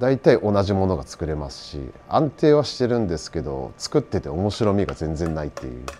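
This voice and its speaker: Over light background noise, a man speaks at a very deep, low pitch with very wide pitch swings. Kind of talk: interview answer. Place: workshop.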